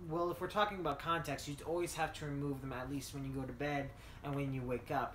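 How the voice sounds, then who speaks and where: A man with an American accent talks at a very fast pace in a fairly high pitch with fairly even intonation. The room echo is audible, and background noise is noticeable. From US South. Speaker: tabletop game master. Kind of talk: casual chat.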